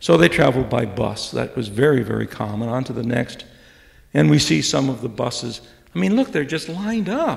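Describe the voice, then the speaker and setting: With vocal fry and very wide pitch swings, a man speaks at a fairly quick pace amid audible room echo. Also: medium pitch for a man. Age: 70s. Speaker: retired professor. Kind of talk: lecture. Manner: halting.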